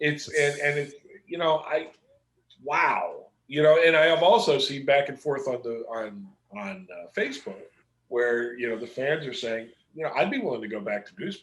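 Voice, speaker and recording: Speaking at a moderate pace with an American accent, a man uses an ordinary speaking voice pitched fairly high, with lively intonation and big swings in loudness. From Pittsburgh, US. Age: 60s. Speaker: comic book artist. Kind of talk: casual chat.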